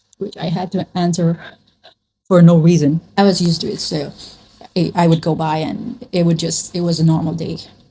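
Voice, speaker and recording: Somewhat breathy and dark, mellow in tone, a woman speaks in a fairly low pitch at a moderate pace. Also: fairly even intonation. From Nepal. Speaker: vlogger. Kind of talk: casual chat. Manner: chatty, with many fillers.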